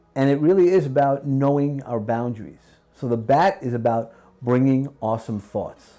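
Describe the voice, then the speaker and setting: Music plays behind a man speaking at a medium pitch with a slight New York accent. His pace is moderate and his pitch variation ordinary. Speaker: podcast host and executive trainer. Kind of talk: interview conversation.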